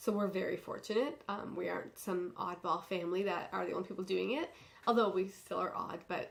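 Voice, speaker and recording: Noticeable background noise accompanies a woman talking fairly quickly. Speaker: podcast host, yarn business owner. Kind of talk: casual podcast monologue. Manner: hesitant, many ums.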